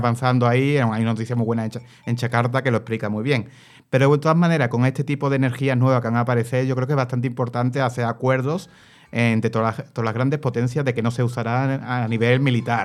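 On a very clean recording with a silent background, a man talks very fast at a medium pitch. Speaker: radio panelist. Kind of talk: radio talk show.

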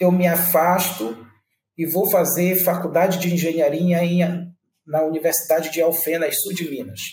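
A man with a high pitch and a dark, mellow tone talks at a fairly slow pace with long, frequent pauses. His intonation is fairly even, and the room echo is audible. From Brazil, Amapá (Macapá). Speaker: tech company founder and CEO. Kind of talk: interview.

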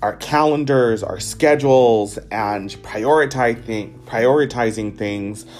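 A man talks at a fairly slow pace with ordinary pitch variation. Music plays in the background. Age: 20s. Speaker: podcast host. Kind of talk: solo reflective monologue. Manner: hesitant, many fillers.

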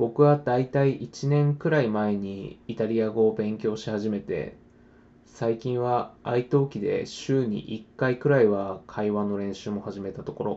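This man has a normal speaking voice with a medium pitch. He goes at a fairly slow pace with ordinary pitch variation. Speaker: podcaster, language learner. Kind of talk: casual monologue. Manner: casual, friendly.

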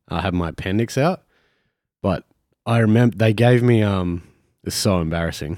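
A man talks at a fairly quick pace with ordinary pitch variation and long, frequent pauses. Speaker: podcast host. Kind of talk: casual banter podcast. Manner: joking, crude humor.

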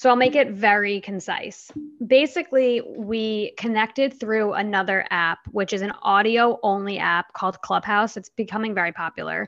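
A woman with an ordinary speaking voice and medium pitch speaks at a moderate pace. Her pitch varies in an ordinary way. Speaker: physician assistant and app co-founder. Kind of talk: casual chat.

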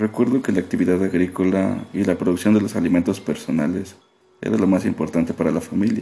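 At a very fast pace, a man with a very deep, low voice talks with ordinary pitch variation and very even loudness. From Mexico, rural Veracruz. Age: 20s. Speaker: nurse, therapy client. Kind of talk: role-played therapy intake interview.

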